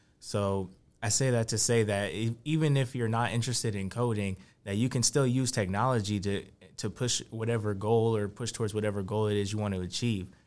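This is an unremarkable speaking voice from a man with fairly low pitch, talking at a fairly quick pace with fairly even intonation. The recording is very clean with a silent background. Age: 20s. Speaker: tech entrepreneur. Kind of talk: casual chat.

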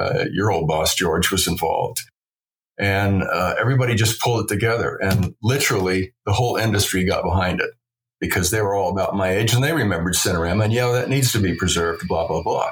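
Somewhat breathy and fairly low-pitched, a man talks at a fairly quick pace with very even loudness and ordinary pitch variation. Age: 70s. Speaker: film restoration director. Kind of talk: casual interview chat.

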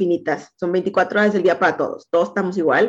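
Speaking with a Mexican accent, a woman uses a medium pitch and ordinary pitch variation. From Veracruz, Mexico. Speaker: insurance agent. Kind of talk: interview.

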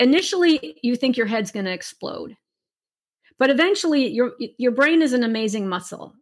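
Animated and high-pitched, a woman speaks at a moderate pace with very wide pitch swings. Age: 60s. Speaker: artist and online art teacher. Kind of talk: interview.

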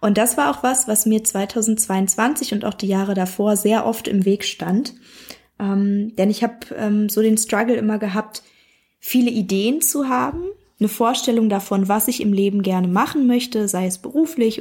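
A woman speaks at a fairly high pitch with ordinary pitch variation. Her voice is somewhat breathy and her pace moderate. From Berlin, Germany. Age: 30s. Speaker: club member sharing success story. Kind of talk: personal testimony.

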